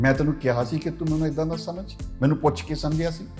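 A man's fairly high voice over background music. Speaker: writer and presenter. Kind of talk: reflective monologue.

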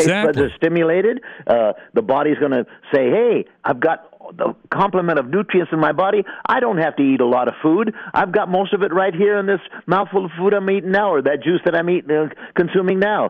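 The speech moves at a fairly quick pace with ordinary pitch variation and very even loudness over noticeable background noise. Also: man, high pitch for a man. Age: 80s+. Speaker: juicing pioneer. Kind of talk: interview answer. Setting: phone line. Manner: enthusiastic.

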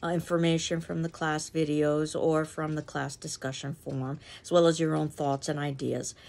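At a moderate pace, a woman talks with a fairly low pitch. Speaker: literature instructor. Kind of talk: lecture. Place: home room. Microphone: phone near.

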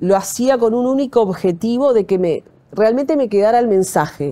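A woman's voice has a dark, mellow tone and very wide pitch swings. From Uruguay, Montevideo. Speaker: TV news anchor. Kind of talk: interview.

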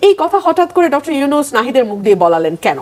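Very wide pitch swings from a woman's high voice, with noticeable background noise. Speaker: political news commentator. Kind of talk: political commentary.

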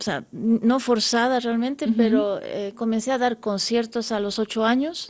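This woman's fairly high voice moves at a fairly slow pace with fairly even intonation. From grew up abroad (USA, Netherlands, Europe), Bolivian-Dutch parents. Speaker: concert pianist; guest. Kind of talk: radio interview. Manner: halting, many fillers. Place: studio.

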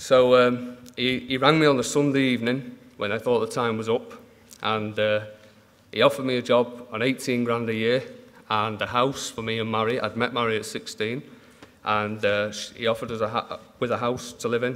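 A man speaks at a moderate pace. His intonation is flat and monotone. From Manchester, northern England; northern England. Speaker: dairy farmer. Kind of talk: conference talk. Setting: stage with audience. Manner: halting. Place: hall. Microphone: podium.

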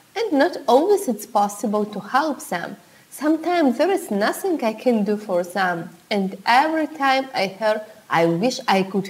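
A woman talks rather slowly, her pitch rising and falling over a very wide range. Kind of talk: tutorial. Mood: warm, friendly. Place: home room.

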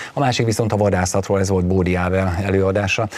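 Delivered in a monotone with flat intonation, this man's speech comes out very fast. He keeps his pitch level throughout. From Hungary. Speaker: TV talk show host. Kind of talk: studio discussion moderation. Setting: TV studio. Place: studio. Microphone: lapel.

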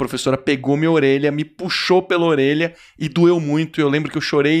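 Here a man talks at a fairly quick pace. The background is quiet. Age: 30s. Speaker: podcast host. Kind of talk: casual interview chat. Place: studio. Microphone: studio mic.

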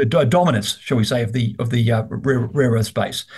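Someone talks at a fairly quick pace in an Australian accent, sounding somewhat breathy. The background is quiet. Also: man. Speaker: investment research host. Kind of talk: business interview. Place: office. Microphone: video call.

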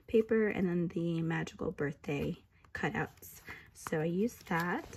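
In a very clean recording with a silent background, a woman sounds somewhat breathy, with ordinary pitch variation. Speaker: crafter. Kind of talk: casual craft project share to camera. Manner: hesitant, many fillers.

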